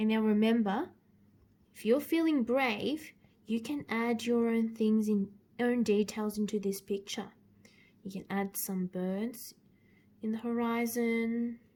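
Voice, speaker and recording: Somewhat breathy and dark, mellow in tone, the voice moves at a fairly slow pace with fairly even intonation and long, frequent pauses. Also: woman, fairly high pitch for a woman. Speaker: art teacher. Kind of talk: tutorial. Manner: hesitant fillers.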